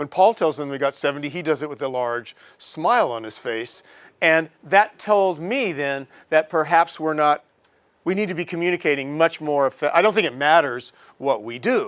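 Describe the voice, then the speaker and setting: A man with a normal speaking voice, fairly high in pitch, lively in intonation, at a moderate pace with big swings in loudness, on a very clean recording with a silent background. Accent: American. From USA. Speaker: professor. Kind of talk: lecture.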